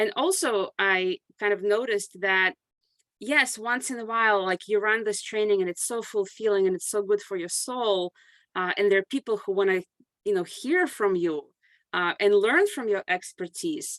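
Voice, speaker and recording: A woman at medium pitch and moderate pace, with ordinary pitch variation, long and frequent pauses, and a quiet background. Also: dry, close sound with no echo. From grew up abroad, moved to US at 14. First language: not English. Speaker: consulting firm CEO and author. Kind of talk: podcast interview.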